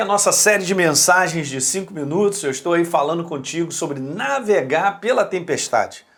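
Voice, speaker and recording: A man talks at a moderate pace with hardly any pauses. His intonation is lively. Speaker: preacher. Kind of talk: short devotional sermon. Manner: conversational.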